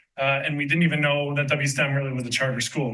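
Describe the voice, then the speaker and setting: Audible room echo colors the recording. A man with a fairly high voice talks at a very fast pace. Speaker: parent speaking at public comment. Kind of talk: public comment at school board meeting. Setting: school board meeting.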